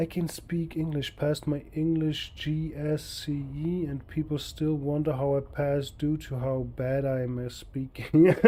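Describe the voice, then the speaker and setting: A man with a German accent speaks at a fairly slow pace with hardly any pauses, his fairly high voice somewhat breathy, dark and mellow in tone, and monotone and flat in intonation. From Austria. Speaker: video game streamer. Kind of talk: live gameplay stream chat.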